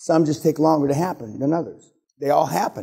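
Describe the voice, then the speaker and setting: A man with a dark, mellow tone at a moderate pace, in a very clean recording with a silent background. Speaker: business seminar speaker. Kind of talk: seminar talk. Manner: blunt, profane.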